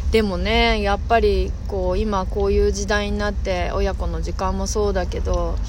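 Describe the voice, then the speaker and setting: A woman speaks at a moderate pace with hardly any pauses, amid noticeable background noise and audible room echo. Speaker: podcast host. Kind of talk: casual chat. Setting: outdoors.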